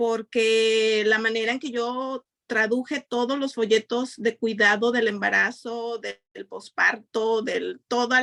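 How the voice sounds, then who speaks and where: Heard in dry, close sound with no echo, a woman speaks with a fairly high pitch, a bright, sharp tone and fairly even intonation. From Mexico, Nayarit. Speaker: community member. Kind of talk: panel discussion.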